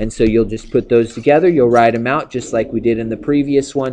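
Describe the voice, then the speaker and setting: This man's pitch sits in the medium range, and his intonation stays fairly even. He talks at a fairly quick pace. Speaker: math teacher. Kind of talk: tutorial. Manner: fast; casual.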